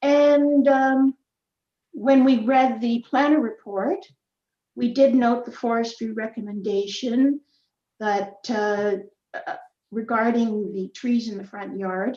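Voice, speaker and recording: At a very slow pace, a woman speaks with a Canadian accent, leaving long, frequent pauses. Her pitch is fairly high, her tone dark and mellow, and her loudness swings widely. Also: ordinary pitch variation. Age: 70s. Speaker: community association representative. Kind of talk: public hearing statement. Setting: online hearing.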